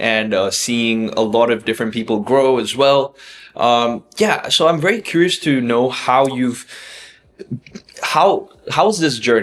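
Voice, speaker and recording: This man has an unremarkable speaking voice with a medium pitch. He speaks at a fairly slow pace with lively intonation. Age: 20s. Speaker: community member interviewer. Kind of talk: interview conversation.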